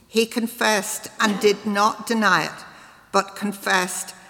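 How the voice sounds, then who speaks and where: With noticeable background noise behind her, a woman speaks at a very slow pace in a fairly high voice with ordinary pitch variation. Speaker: scripture reader. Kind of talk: reading scripture aloud.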